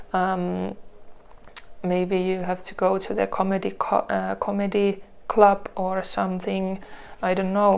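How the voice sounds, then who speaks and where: With a non-native accent, a woman speaks at a fairly slow pace, leaving long, frequent pauses. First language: not English. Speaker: tarot reader. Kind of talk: tarot reading to camera. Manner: halting, many restarts and fillers.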